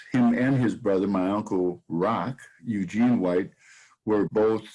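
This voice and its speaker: With an American accent, a man talks very slowly at a fairly low pitch with ordinary pitch variation. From Saint Paul, Minnesota. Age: 70s. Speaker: sports historian and author. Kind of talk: interview. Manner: halting, frequent repetitions.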